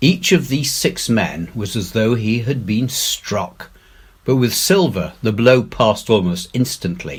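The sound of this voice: Someone reads in an unforced reading voice, and the pitch varies in an ordinary way.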